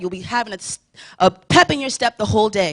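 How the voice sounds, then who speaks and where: In a dry, close recording with no echo, a woman talks fairly quickly at a medium pitch with lively intonation. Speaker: church youth speaker. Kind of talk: sermon. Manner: fast.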